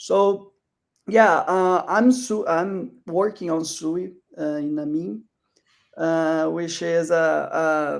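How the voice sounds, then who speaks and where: A man with a non-native accent speaks at a very slow pace. His pitch is high, with ordinary variation. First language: not English. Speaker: crypto project founder. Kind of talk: panel discussion. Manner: halting.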